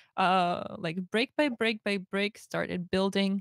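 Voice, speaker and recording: A woman with a Slavic accent speaks at a moderate pace in a medium pitch with ordinary pitch variation, the sound dry and close with no echo. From Russia. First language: Russian. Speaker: streamer. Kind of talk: interview on a livestream. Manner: halting, repeats words.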